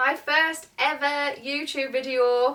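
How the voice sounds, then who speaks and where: Speaking with a northeast English accent, a woman's high voice has a bright, sharp tone. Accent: northeast English, noticeable. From northeast England, near Durham. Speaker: vlogger. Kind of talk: casual Q&A vlog.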